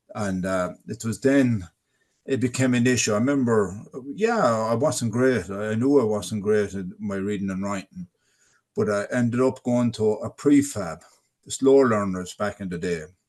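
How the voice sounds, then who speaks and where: Someone with a Tipperary accent speaks at a moderate pace with ordinary pitch variation. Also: man, fairly low pitch for a man. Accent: Irish (Tipperary). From Ireland, North Tipperary. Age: 60s. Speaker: adult literacy ambassador. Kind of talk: webinar interview, personal testimony. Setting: online webinar. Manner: halting, with repeated words.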